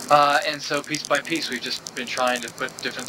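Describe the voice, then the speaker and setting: A man speaks over noticeable background noise. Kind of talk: interview. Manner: soft-spoken.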